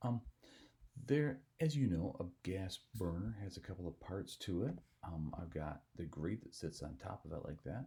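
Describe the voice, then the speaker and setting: Quiet and somewhat breathy, the dark, mellow voice moves at a moderate pace with very wide pitch swings and long, frequent pauses. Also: man. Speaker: software tutorial teacher. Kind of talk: tutorial. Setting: at home. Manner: speaking quietly.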